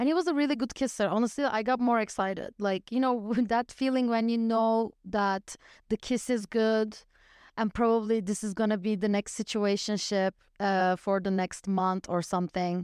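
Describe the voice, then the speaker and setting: In a very clean recording with a silent background, a woman with an ordinary speaking voice talks at a fairly high pitch, with ordinary pitch variation, very even loudness and a dry, close sound with no echo. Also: moderate pace. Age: 30s. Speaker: podcast host. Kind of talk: personal storytelling monologue. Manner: casual, with many fillers.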